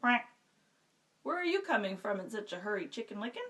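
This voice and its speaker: A woman uses a put-on character voice. Her pitch is fairly high. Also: fairly quick pace. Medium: read story.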